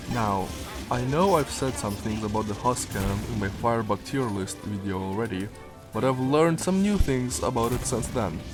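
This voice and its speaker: Over music in the background, a man speaks at a medium pitch and a moderate pace. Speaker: gaming video creator. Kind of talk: casual game weapon review narration.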